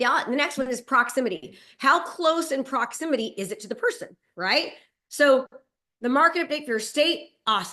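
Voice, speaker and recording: Raised and projected, the woman's high-pitched voice sounds bright and sharp, with an energetic tone, lively intonation and big swings in loudness. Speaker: real estate and digital marketing coach. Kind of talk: webinar presentation. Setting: video call. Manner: fast.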